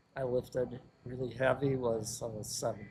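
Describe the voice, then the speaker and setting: A man with an American accent talks at a medium pitch in a somewhat breathy voice. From US Midwest (Joliet, Illinois). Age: 70s. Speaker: personal trainer. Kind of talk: casual interview.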